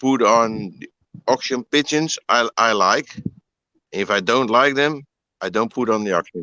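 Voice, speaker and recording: A man with a Dutch accent talks in a bright, sharp tone. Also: dry, close sound with no echo. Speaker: pigeon breeder. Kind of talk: interview. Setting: live online broadcast. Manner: halting.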